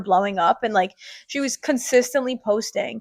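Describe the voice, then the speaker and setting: A woman speaks loudly at a moderate pace, her pitch fairly high with ordinary variation. Her tone is animated, and the sound is dry and close with no echo. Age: 20s. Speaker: podcast host. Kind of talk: casual chat.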